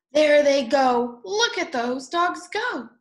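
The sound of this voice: This woman has a high pitch and lively intonation. She talks at a slow pace.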